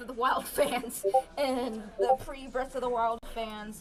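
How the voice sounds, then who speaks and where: A woman's high-pitched voice over noticeable background noise. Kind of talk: casual chat.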